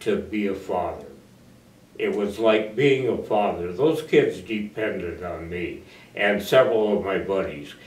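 Speaking at a fairly slow pace, a man with a fairly low pitch sounds somewhat breathy, and audible room echo surrounds him. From US Midwest (northeastern Iowa). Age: 80s+. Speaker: war veteran. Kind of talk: oral history interview. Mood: warm, reflective. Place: empty room.

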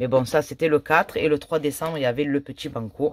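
Light background noise sits under a dry sound with no echo. A woman with a very deep, low pitch talks in an animated tone with ordinary pitch variation. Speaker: YouTuber scratch-card vlogger. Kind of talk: casual vlog.

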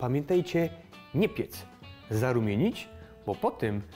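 Faint music plays in the background as a man with a Silesian accent speaks at a fairly slow pace, his pitch swinging very widely. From Silesia, Poland. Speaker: cooking vlogger. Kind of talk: cooking show presentation. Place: kitchen. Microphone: lapel.

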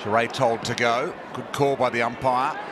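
Loud background noise fills this dry recording with no echo. Over it, a man talks at a fairly high pitch. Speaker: football commentator. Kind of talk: live commentary. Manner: measured, conversational calls, with occasional wry humour.

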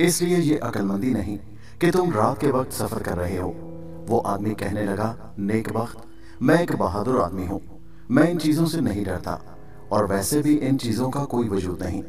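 Music plays behind a man talking at a medium pitch. His pitch swings very widely. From Pakistan. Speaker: voice-over artist and story writer. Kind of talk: horror story narration.

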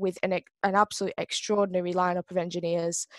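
Over a quiet background, a woman's voice comes across dry, with no echo. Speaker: presenter. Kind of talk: introductory presentation. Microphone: video call.

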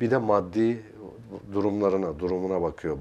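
A man is speaking. His pace is moderate. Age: 60s. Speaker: art consultant and character analyst; guest. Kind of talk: TV interview. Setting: TV studio. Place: studio. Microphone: lapel.

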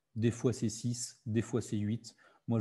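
This man's tone is dark and mellow, somewhat breathy, with monotone, flat intonation. He keeps a moderate pace over a quiet background. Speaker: digital literacy workshop facilitator. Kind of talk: online workshop presentation. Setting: video call. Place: home room. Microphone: webcam.

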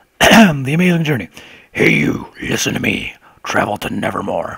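Putting on a raspy character voice, a man speaks at a moderate pace. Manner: put-on character voice.

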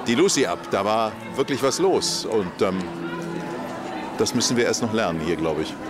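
Clear music plays in the background as a man talks at a moderate pace with long, frequent pauses, the sound dry with no echo. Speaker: actor and voice actor. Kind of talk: red carpet interview answer. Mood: relaxed, thoughtful. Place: street.

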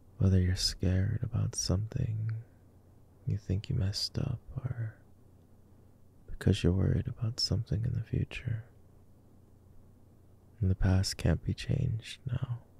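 Soft-spoken and whispering, the speaker goes at a fairly slow pace with long, frequent pauses in a dry sound with no echo. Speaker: voice actor. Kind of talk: soothing calming monologue. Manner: soft reassuring whisper.

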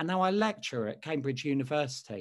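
A man with a London accent speaks at a fairly quick pace. His pitch swings very widely over a quiet background. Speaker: speechwriter; lecturer. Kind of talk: interview. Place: home room. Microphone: webcam.

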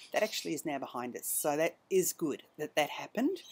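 A woman with an Australian accent speaks at a very deep, low pitch. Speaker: knitting podcast host and yarn dyer; knitting podcast host. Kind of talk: casual monologue. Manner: hesitant, many ums. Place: garden. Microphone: webcam.

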